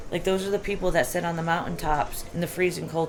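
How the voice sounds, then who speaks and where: A woman speaks over noticeable background noise. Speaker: spiritual vlogger. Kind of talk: casual monologue.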